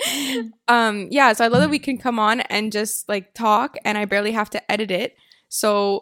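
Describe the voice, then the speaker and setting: This woman has a normal speaking voice, fairly high in pitch, with fairly even intonation. The sound is dry and close, with no echo. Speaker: podcast host. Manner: fast talker.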